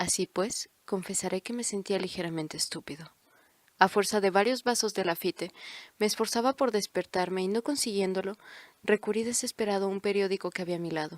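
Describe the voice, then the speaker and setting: On a very clean recording with a silent background and a dry, close sound with no echo, a woman with a plain, everyday voice talks at a fairly quick pace with medium pitch and ordinary pitch variation. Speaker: audiobook narrator. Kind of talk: audiobook narration.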